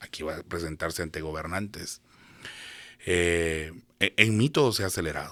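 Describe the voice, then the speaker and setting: A man with a very deep, low voice speaks at a moderate pace. The recording is very clean, with a silent background. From Guatemala. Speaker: prophet. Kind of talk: interview.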